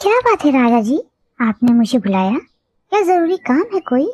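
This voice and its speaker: Using a cartoonish character voice, a woman speaks high with very wide pitch swings at a moderate pace, her loudness very even and the sound dry and close with no echo. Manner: dramatic, exclaiming.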